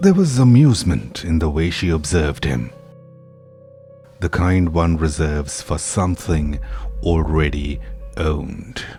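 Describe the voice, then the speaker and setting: Over music in the background, a man with a very deep, low pitch talks at a fairly slow pace, leaving long, frequent pauses, his intonation lively. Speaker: horror story narrator. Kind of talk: horror story narration.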